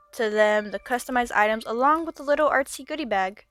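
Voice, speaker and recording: Over music in the background, a woman speaks at a very fast pace in a dry, close sound with no echo. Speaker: artist making a craft video. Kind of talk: voiceover narration of an art process. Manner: casual, chatty.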